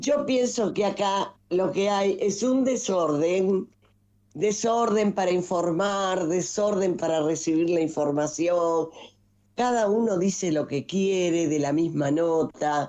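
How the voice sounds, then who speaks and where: Speaking at a very slow pace, a woman uses a medium pitch with ordinary pitch variation and a dark, mellow tone. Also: very even loudness, quiet background. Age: 80s+. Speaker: nationalist political figure. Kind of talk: interview. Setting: video call.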